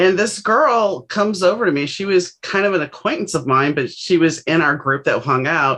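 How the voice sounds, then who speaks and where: A woman with an American accent and an unremarkable speaking voice, fairly low in pitch, at a moderate pace with lively intonation and hardly any pauses. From US South, New Orleans. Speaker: author. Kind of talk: podcast interview.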